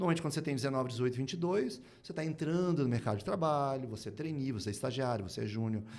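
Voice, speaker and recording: A man at a medium pitch, very fast and with hardly any pauses, amid audible room echo. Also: lively intonation. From Brazil, moved between Curitiba, Rio and Manaus. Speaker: speaker and writer on innovation. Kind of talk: podcast interview.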